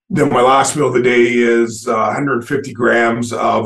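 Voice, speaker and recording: A man of medium pitch, moderate pace, and monotone, flat intonation. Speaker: bodybuilder. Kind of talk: casual interview chat.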